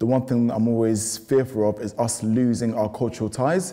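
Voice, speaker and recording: A man with a British accent, medium pitch, fairly even intonation and a fairly quick pace. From UK, raised from early childhood. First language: Lingala. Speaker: young Congolese professional interviewee. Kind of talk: documentary interview.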